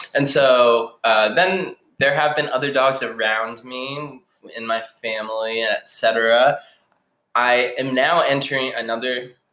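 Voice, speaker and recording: With an American accent, a man speaks at a very slow pace in a bright, sharp tone. His pitch is medium and his intonation fairly even. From Boston area, Massachusetts. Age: 20s. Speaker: youth program coordinator. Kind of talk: casual interview.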